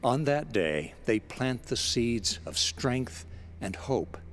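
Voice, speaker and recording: A man's warm-toned voice with vocal fry at a fairly slow pace. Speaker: spoken-word broadcaster. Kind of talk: scripted inspirational spoken-word essay, read aloud. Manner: formal, warm and measured, unhurried and sincere; gentle, reflective, soothing cadence.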